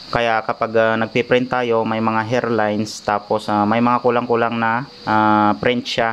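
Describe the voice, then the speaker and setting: A man's medium-pitched, monotone, flat delivery at a fairly slow pace with hardly any pauses. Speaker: repair technician vlogger. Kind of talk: tutorial. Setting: at home workshop. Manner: hesitant, many filler ahs; raised voice over rain noise.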